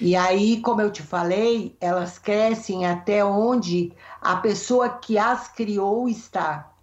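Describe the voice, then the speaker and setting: A woman's medium-pitched voice, very slow pace and fairly even intonation, with noticeable background noise. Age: 60s. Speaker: therapist. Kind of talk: interview.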